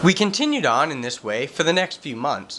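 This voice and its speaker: Noticeable background noise is present throughout. A man talks at a moderate pace, his pitch swinging very widely. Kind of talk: reading prepared statement.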